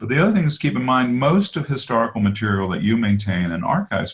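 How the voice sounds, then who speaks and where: A man speaks in a somewhat breathy voice. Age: 60s. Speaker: author and biographer. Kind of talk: interview on a webinar. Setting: webinar.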